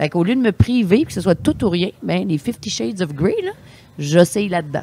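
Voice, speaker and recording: A woman's fairly low-pitched, animated voice with vocal fry, very wide pitch swings and big swings in loudness. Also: moderate pace. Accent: Quebec. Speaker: sommelier. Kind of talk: casual chat.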